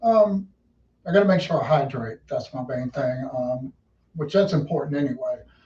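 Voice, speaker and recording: With a Southern US accent, a man talks at a moderate pace, his fairly high pitch carried by lively intonation. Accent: US South. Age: 60s. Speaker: race car driver. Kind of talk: interview.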